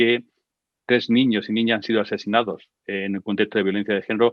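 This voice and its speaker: A man of medium pitch at a very fast pace, with fairly even intonation. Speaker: expert speaker on gender violence. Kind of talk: online talk and conversation. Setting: online session with sign language interpreters.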